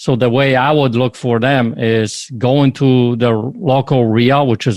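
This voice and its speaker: Recorded very cleanly with a silent background, a man speaks in a normal speaking voice of medium pitch with fairly even intonation. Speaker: podcast host. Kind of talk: podcast interview talk.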